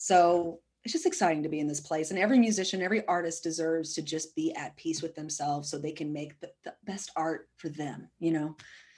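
Heard on a very clean recording with a silent background, a woman with a plain, everyday voice talks at a fairly quick pace with hardly any pauses. Her pitch is fairly low and her intonation fairly even, while her loudness swings widely. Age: 30s. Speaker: singer-songwriter. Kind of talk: casual interview.

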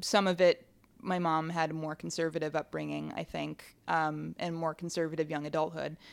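A woman speaks at a fairly low pitch with fairly even intonation. The recording is very clean, with a silent background. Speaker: film critic. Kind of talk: interview. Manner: hesitant, many ums.

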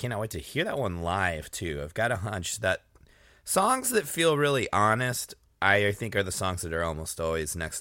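A man with an American accent speaks at a moderate pace, with a bright, sharp tone and lively intonation, on a very clean recording with a silent background. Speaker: music podcast host and musician. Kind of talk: casual solo podcast with song introductions.

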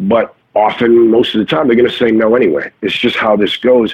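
A man talks in a normal speaking voice at medium pitch and a moderate pace. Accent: American. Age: 40s. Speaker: actor. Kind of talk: casual chat. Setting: remote call.

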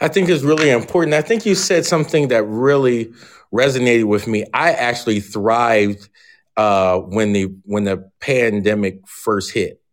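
In a very clean recording with a silent background, a man with an American accent speaks in an unremarkable speaking voice at medium pitch and a moderate pace, his loudness very even and his intonation lively. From Philadelphia area, US. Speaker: professor. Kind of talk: interview.

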